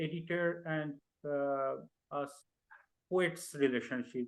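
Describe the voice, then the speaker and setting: A man speaks very slowly with a Bengali accent. His pitch varies in an ordinary way. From India (Bengal). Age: young. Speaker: poet. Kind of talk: interview. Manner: halting, many fillers.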